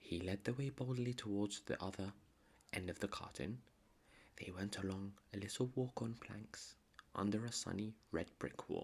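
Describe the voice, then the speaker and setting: Soft-spoken and calm in tone, at a moderate pace. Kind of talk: bedtime story reading. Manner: soft-spoken, calm.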